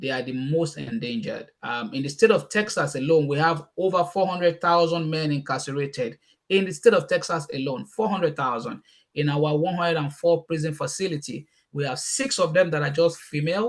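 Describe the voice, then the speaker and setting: Speaking with a Nigerian accent, a man has a fairly high pitch. His pace is fairly quick, and his pitch varies in an ordinary way. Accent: Nigerian (Yoruba) English. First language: Yoruba. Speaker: youth mentor and speaker. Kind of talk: casual chat.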